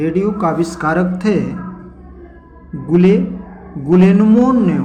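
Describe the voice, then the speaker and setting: Noticeable background noise accompanies speech with ordinary pitch variation. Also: man, high pitch for a man. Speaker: YouTube channel host. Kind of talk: casual talk to camera, explainer.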